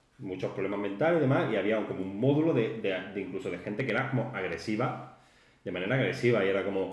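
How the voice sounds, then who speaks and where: Very fast, lively-intoned speech with audible room echo and noticeable background noise. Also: man, fairly low pitch for a man. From Spain, Málaga. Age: 30s. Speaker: podcast co-host, warehouse worker. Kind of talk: casual chat.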